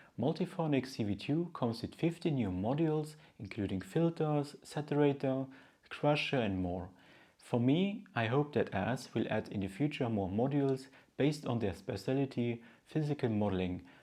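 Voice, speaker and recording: In a Luxembourgish accent, the voice carries a dark, mellow tone and lively intonation at a moderate pace. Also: man. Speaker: synth news video host. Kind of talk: news commentary.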